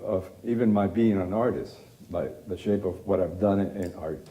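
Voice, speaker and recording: Audible room echo surrounds a man whose fairly low voice has a dark, mellow tone and ordinary pitch variation. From Cuba. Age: 60s. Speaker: artist, photographer. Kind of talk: lecture. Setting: auditorium stage with audience.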